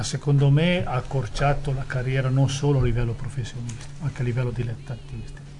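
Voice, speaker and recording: Very fast, monotone, flat delivery with hardly any pauses and music in the background. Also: man, medium pitch for a man. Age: 60s. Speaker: former footballer and sporting director. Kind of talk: interview. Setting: studio.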